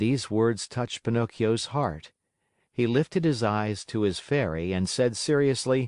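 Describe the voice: A quiet background behind plain reading aloud, pitch varying in an ordinary way.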